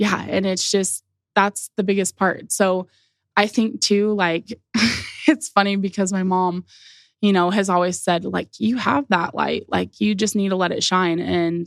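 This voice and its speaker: Recorded with a dry, close sound and no echo, a woman speaks at a fairly slow pace. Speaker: podcast guest sharing health journey. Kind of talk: casual interview chat. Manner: loud, boisterous.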